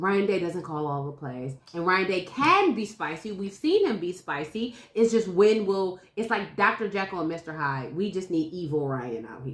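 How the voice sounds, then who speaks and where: An animated woman with a medium pitch speaks at a moderate pace with hardly any pauses. Her intonation is lively and her loudness swings widely. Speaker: sports podcast host. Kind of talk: casual debate.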